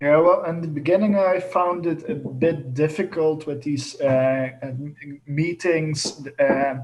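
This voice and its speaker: Noticeable background noise sits behind a man speaking at a very slow pace with hardly any pauses. His pitch is fairly high, with ordinary variation. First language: not English. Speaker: sound artist. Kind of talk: casual group discussion. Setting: video call. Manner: halting.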